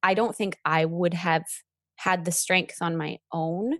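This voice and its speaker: An unremarkable speaking voice from a woman, fairly low in pitch with ordinary variation, at a fairly slow pace, dry and close with no echo, on a very clean recording with a silent background. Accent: Canadian. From British Columbia, Canada. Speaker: event planner and blogger. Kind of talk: interview.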